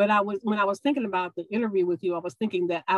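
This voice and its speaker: A woman with a Mississippi accent, ordinary pitch variation, and a dry, close sound with no echo. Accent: Southern US (Mississippi). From US South, Meridian, Mississippi. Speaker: yoga instructor and college professor. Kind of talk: casual interview.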